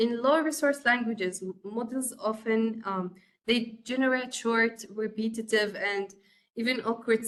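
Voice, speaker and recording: A woman with an Arabic accent, fairly high in pitch, at a moderate pace with fairly even intonation. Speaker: course instructor. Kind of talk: lecture. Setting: webcast. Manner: halting, many fillers.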